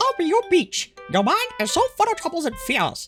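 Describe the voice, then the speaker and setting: Someone uses a put-on character voice at an extremely high pitch, with faint music in the background. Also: moderate pace. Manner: butchered, imperfect imitation.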